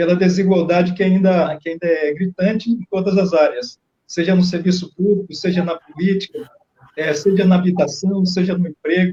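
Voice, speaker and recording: A man speaks with a high pitch and fairly even intonation. His tone is dark and mellow. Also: moderate pace. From Brazilian Northeast, Bahia countryside. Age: old. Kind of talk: radio interview.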